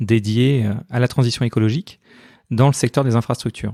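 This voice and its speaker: A man speaks at a medium pitch with fairly even intonation and a dark, mellow tone. The recording is very clean and dry, close with no echo, over a silent background. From northern France. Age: 40s. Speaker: entrepreneur. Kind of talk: interview.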